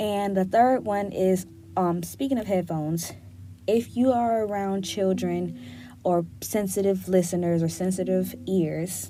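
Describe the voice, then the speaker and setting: Fairly slow female speech with audible room echo. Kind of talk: casual solo podcast talk. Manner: gets loud when passionate.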